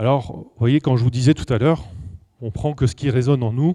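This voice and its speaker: Somewhat breathy and dark, mellow in tone, a man speaks with lively intonation in a dry, close sound with no echo. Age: 40s. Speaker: numerology speaker and coach. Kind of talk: lecture. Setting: stage with audience. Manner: casual and conversational.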